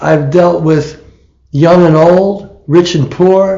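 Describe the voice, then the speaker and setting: Fairly even intonation marks this man's speech, heard with audible room echo. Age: 70s. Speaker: political candidate. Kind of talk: interview. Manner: halting.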